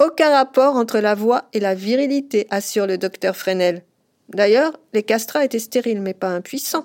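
In a very clean, dry and close recording with a silent background and no echo, a woman talks at a moderate pace with lively intonation. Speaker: podcast host and journalist. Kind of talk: scripted narration.

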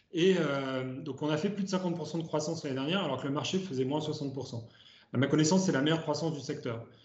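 Amid noticeable background noise and audible room echo, a man talks at a fairly quick pace with a fairly high pitch and ordinary pitch variation. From France, Ardèche. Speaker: startup co-founder and CEO. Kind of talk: interview. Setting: video call.

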